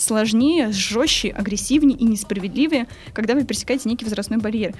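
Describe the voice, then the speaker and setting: With music in the background, a woman with a high pitch talks at a fairly quick pace and ordinary pitch variation. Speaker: language teacher and translator, medievalist student. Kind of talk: casual interview.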